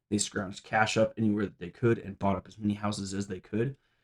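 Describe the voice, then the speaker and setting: The speech comes at a very fast pace in a flat, monotone delivery, with a dry, close sound and no echo. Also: man. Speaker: personal finance show host. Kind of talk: casual talk to camera.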